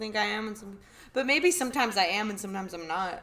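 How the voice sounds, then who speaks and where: Speaking very fast, a woman keeps a medium pitch. Her pitch variation is ordinary. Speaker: stand-up comedian. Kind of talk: casual chat. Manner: loud.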